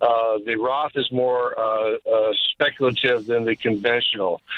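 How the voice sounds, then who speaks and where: An unremarkable speaking voice from a man, medium in pitch with ordinary pitch variation. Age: 60s. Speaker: retiree caller. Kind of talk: call-in question.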